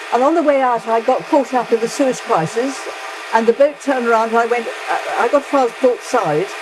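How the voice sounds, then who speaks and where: A woman's high-pitched voice at a very fast pace, with ordinary pitch variation and noticeable background noise. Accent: southern English. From England. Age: 90s. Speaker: retired English teacher. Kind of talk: casual interview while cooking. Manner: halting, many restarts.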